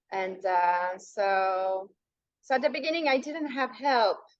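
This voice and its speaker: With a non-native accent, a woman speaks at a fairly slow pace using lively intonation. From Western country. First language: not English. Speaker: hypnotherapist. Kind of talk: podcast interview. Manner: halting, with many repetitions.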